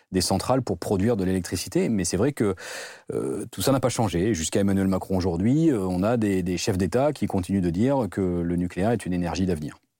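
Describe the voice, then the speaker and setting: On a very clean recording with a silent background, a man talks at a fairly quick pace with a very deep, low pitch, a dark, mellow tone and ordinary pitch variation. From southwest France, Bordeaux area. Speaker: NGO director. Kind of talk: interview. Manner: halting.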